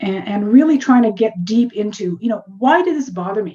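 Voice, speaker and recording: Lively intonation marks this woman's somewhat breathy, medium-pitched voice at a fairly slow pace. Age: 60s. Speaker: medical journalist and author. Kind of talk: interview.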